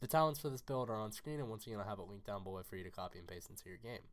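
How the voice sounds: A man talks at a fairly low pitch.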